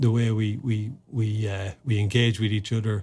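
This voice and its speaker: The voice has a dark, mellow tone with an Irish accent. It is somewhat breathy and moves at a fairly slow pace. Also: man. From Ireland. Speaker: former army officer and sports administrator. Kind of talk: podcast interview. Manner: halting, many repetitions and fillers.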